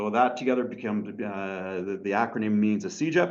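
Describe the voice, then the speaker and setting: Room echo is audible around a man's voice. He talks at a moderate pace with lively intonation. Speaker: college teacher. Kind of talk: lecture.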